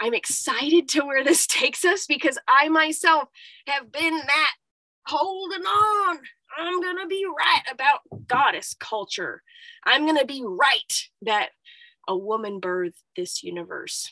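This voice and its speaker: A woman's high, bright, sharp voice is raised and projected, with very wide pitch swings at a fairly slow pace. The sound is dry and close, with no echo. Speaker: herbalist and spiritual coach. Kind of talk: solo monologue podcast. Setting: solo recording in cold apothecary.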